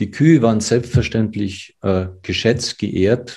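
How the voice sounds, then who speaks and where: Fairly low pitched and somewhat breathy, a man talks at a fairly slow pace with a dark, mellow tone. His pitch variation is ordinary. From Germany, village. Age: 60s. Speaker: physician and ayurveda expert. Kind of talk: interview.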